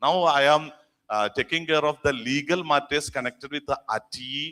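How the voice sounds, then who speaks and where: A man with a bright, sharp tone and a fairly high pitch speaks at a moderate pace with fairly even intonation. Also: dry, close sound with no echo. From India, Kerala. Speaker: school association director and lawyer. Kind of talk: conference speech.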